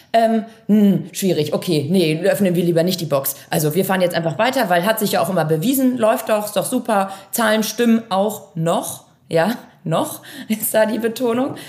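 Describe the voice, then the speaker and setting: Speaking at a moderate pace, a woman uses an ordinary speaking voice with a medium pitch and ordinary pitch variation. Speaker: managing director of a family software company. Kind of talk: interview.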